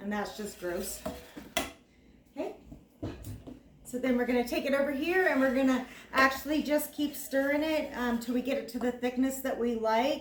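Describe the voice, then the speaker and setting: A woman's high-pitched voice at a moderate pace, with ordinary pitch variation, long and frequent pauses, and noticeable background noise. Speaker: cooking video host. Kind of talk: cooking tutorial. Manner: casual, filler-heavy.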